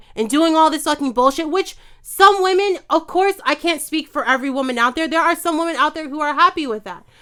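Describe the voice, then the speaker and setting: With an American accent, a woman talks in an animated tone, her pitch extremely high and her voice raised and projected. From New York. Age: 20s. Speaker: chef. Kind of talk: heated debate.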